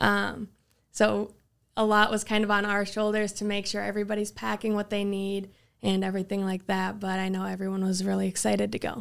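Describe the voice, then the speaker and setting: Flat, monotone intonation from a woman at a fairly quick pace, in a very clean recording with a silent background. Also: medium pitch for a woman. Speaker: college softball player. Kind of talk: interview.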